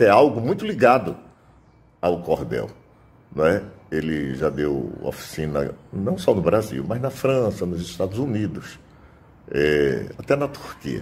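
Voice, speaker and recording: Speaking at a fairly low pitch, a man shows vocal fry and very wide pitch swings. His pace is fairly slow, broken by long, frequent pauses. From Itabaiana, Paraíba, Brazil. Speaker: cordel poet. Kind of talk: interview answer.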